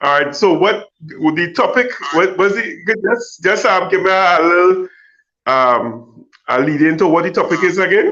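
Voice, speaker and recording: A man projects a raised voice with a bright, sharp tone and high pitch. He keeps a moderate pace with ordinary pitch variation. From Trinidad and Tobago. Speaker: guest, film fan. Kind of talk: casual chat. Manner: halting, repetitive.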